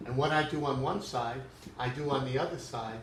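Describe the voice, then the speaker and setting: Medium pitch from a man at a moderate pace, with audible room echo and noticeable background noise. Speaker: math teacher. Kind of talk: lecture. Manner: halting, many fillers.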